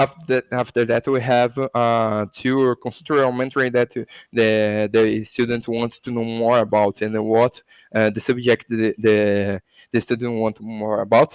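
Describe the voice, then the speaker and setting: A man with a Portuguese accent, medium pitch, a fairly slow pace and monotone, flat intonation. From Brazil. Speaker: crypto education academy founder. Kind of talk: interview. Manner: halting, many fillers and self-corrections.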